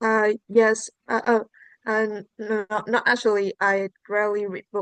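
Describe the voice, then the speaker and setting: A woman's fairly high voice with a Vietnamese accent, monotone and flat, at a fairly slow pace, with a dry, close sound and no echo. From central Vietnam, Hà Tĩnh province. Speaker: student test taker. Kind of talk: exam answers. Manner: halting, many fillers.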